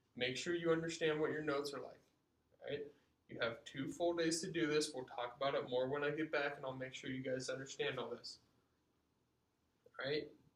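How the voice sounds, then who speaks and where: A man's fairly high, fairly even voice at a fairly quick pace, broken by long, frequent pauses, with audible room echo. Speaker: math teacher. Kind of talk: lecture.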